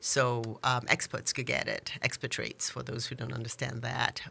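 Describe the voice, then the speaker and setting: A woman's very deep, low voice with a Nigerian accent, bright and sharp in tone, at a moderate pace. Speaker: small business owner. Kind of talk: interview.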